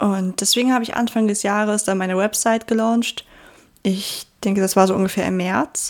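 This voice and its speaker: At a moderate pace, a woman mumbles in a monotone, flat delivery at medium pitch. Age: 20s. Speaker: podcast host. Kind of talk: casual monologue. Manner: mumbling.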